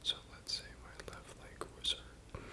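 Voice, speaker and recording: A whispered voice comes through noticeable background noise. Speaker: physical therapy student. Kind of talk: educational ASMR study explanation. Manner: soft-spoken.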